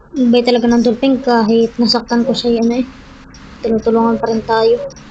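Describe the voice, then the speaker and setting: A soft-spoken voice holds a monotone, flat intonation at very even loudness. Noticeable background noise sits underneath. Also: woman, fairly high pitch for a woman. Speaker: gaming YouTuber. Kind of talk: gameplay commentary.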